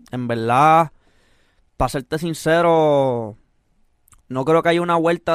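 A man talks with fairly even intonation. The recording is very clean, with a silent background and a dry, close sound with no echo. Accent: Puerto Rican. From Puerto Rico (Mexican parents). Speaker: urban music artist and producer. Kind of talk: casual interview.

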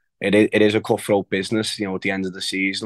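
A man with a Liverpool accent speaks very fast in a fairly low, flat monotone. The recording is dry and close with no echo and a quiet background. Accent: Scouse. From Liverpool, England. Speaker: professional footballer. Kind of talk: casual chat.

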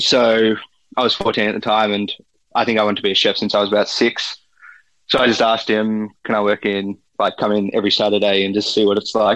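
With an Australian accent, a man speaks at a fairly quick pace in a fairly low pitch, his intonation monotone and flat and his loudness very even. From Australia, outer Melbourne. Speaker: forager and restaurant supplier. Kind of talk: interview. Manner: hesitant, many fillers.

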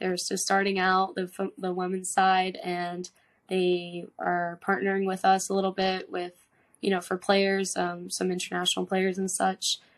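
Fairly slow and monotone with flat intonation, a woman with an American accent speaks at a medium pitch. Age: 20s. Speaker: professional soccer player. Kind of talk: interview. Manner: casual.

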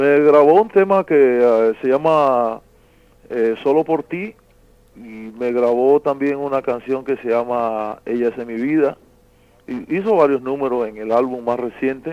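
Speaking at a fairly slow pace, a man with a medium pitch shows big swings in loudness. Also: ordinary pitch variation. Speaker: songwriter. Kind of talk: interview. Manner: halting.

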